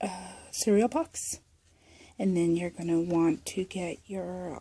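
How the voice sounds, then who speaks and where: A woman speaks at a medium pitch and a fairly slow pace, her somewhat breathy voice dark and mellow with fairly even intonation. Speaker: crafting youtuber. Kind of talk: tutorial. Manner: hesitant, many fillers.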